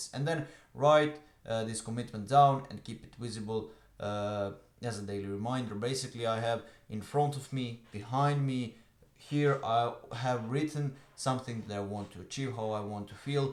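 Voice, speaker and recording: A man speaks at a medium pitch with ordinary pitch variation. His loudness swings widely, and he leaves long, frequent pauses. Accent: Croatian. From Croatia. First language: Croatian. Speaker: online business coach. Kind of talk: talking-head tutorial. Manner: fast; hesitant with filler uhs.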